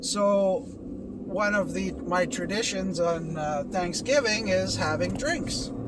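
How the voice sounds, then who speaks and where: A man with a Canadian accent at a very slow pace, hardly any pauses, audible room echo and noticeable background noise. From Canada. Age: 50s. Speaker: vlogger in recovery from alcohol. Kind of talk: casual vlog monologue. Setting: in a car while driving. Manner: halting, with fillers and restarts.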